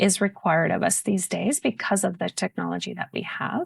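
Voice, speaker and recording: A woman talks with vocal fry over a quiet background. The sound is dry and close, with no echo. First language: Spanish. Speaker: open education advocate. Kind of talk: podcast interview.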